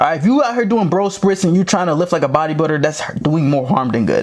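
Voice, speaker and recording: This man has a fairly high voice and lively intonation. He talks at a fairly quick pace over noticeable background noise. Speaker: football coach and running back. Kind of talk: tutorial. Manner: fast; animated.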